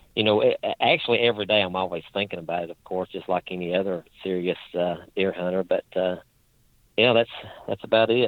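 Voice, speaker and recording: A man with a strong Appalachian accent keeps his intonation fairly even. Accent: strong Appalachian hillbilly. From southwestern Virginia, Appalachian coal fields. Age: 40s. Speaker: deer hunter. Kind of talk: casual interview. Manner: halting with many fillers.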